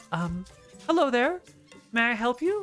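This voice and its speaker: Faint music plays in the background as a put-on character voice at a fairly high pitch moves at a moderate pace through very wide pitch swings. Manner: polite, timid.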